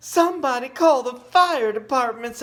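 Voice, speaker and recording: In a put-on character voice, a man speaks at an extremely high pitch. His pace is moderate and his pitch variation ordinary. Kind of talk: bedtime story. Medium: read story.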